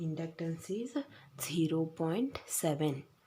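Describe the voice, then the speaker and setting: A woman speaks in a fairly low pitch with a dark, mellow tone. She sounds somewhat breathy and talks at a very slow pace. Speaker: physics teacher. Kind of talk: lecture. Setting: recorded video lesson.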